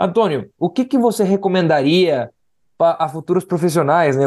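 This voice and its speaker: Against a quiet background, a man with a Spanish accent and a dark, mellow tone speaks at a moderate pace with lively intonation. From Guatemala. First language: Spanish (speaking Portuguese). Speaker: podcast host. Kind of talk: interview.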